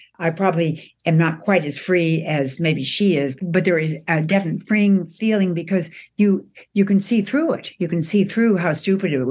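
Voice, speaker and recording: Over a quiet background, a woman talks in an ordinary speaking voice at a fairly low pitch, moderate pace and ordinary pitch variation. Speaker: host's mother. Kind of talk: casual phone chat. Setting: phone call.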